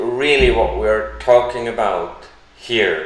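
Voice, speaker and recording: A man with a non-native accent at a very slow pace, amid noticeable background noise and audible room echo. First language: not English. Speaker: crypto YouTuber. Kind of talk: live stream Q&A. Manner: hesitant, with fillers.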